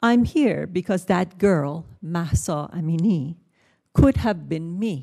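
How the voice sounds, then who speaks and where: Against a quiet background, a woman with a Persian accent speaks at a very slow pace with lively intonation. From Iran. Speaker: writer and journalist, witness. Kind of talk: prepared testimony at hearing.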